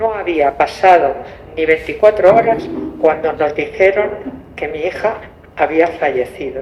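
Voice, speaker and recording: A woman's fairly low voice with ordinary pitch variation, a fairly slow pace and long, frequent pauses, over noticeable background noise. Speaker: mother of stolen baby. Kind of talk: testimony.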